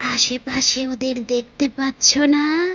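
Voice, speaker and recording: A woman puts on a character voice that is high-pitched. It comes out hoarse and raspy. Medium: read story. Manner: eerie, menacing.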